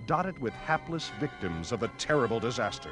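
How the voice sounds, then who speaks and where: A man speaks at a moderate pace in a dramatic tone, his pitch swinging very widely. Music plays in the background. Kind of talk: 1930s newsreel narration. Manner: dramatic, urgent.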